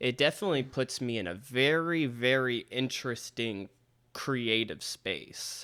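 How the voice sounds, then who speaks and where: A man with a loud, bright, sharp tone at a medium pitch, ordinary pitch variation, and a fairly slow pace. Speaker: podcast host; rapper. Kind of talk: casual chat. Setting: video call.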